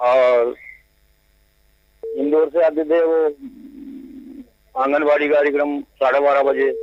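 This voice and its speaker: A man talks in a flat, monotone way. He leaves long pauses, and they come often. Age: 70s. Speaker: caller. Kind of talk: phone-in conversation. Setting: phone call. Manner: brief, deferential replies.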